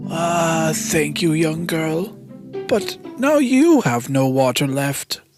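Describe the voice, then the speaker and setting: A put-on character voice speaks at a middle pitch and a very slow pace. Faint music plays in the background. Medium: read story.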